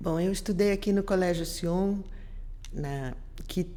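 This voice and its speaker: A woman speaks with a dark, mellow tone and fairly even intonation. Room echo is audible. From Brazil, Rio de Janeiro then Curitiba. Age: 60s. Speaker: visual artist. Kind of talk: interview. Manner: halting, with false starts.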